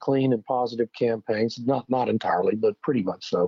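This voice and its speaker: With an ordinary speaking voice, this man sits at a medium pitch. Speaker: magazine editor and energy analyst. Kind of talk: radio interview.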